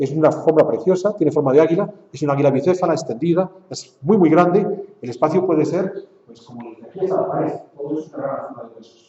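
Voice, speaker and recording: A man with a Spanish accent, talking very fast at a fairly high pitch for a man, ordinary pitch variation, and big swings in loudness. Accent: Spanish (Spain). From Spain. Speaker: lecturer. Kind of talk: lecture.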